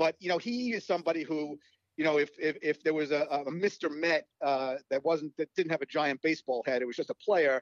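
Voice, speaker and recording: Talking at a fairly quick pace, a man with an American accent has a fairly high pitch and ordinary pitch variation. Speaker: author and baseball podcast host. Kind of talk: casual interview. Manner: halting, many fillers and repeats.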